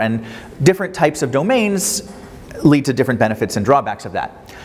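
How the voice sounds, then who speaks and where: Over noticeable background noise, a man speaks at a very fast pace with very wide pitch swings. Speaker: professor. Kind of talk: lecture.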